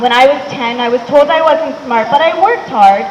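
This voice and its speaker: A woman's high, lively voice at a moderate pace in an American accent, with audible room echo and noticeable background noise. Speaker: educator. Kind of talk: talk to a live audience.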